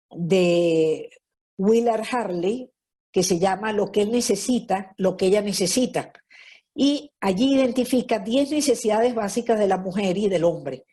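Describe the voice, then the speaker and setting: Over a quiet background, a woman speaks at a fairly slow pace with a dark, mellow tone, ordinary pitch variation and very even loudness. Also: medium pitch for a woman. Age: 70s. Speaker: lecturer on marriage. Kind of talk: lecture. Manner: conversational, frequent fillers.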